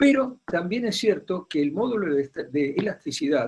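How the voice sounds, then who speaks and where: A man is speaking. His intonation is lively. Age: 70s. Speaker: contact lens specialist doctor. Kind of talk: panel discussion.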